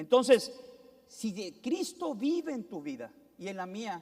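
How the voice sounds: Speaking in a northern Mexican accent, a man with a high pitch and big pitch swings talks at a fairly slow pace in a slightly mellow tone.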